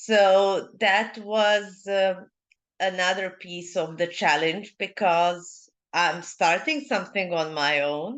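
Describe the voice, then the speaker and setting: Speaking at a very slow pace, a woman with a Serbian accent uses a medium pitch and ordinary pitch variation over a quiet background. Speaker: leadership mentor. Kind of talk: interview. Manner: halting.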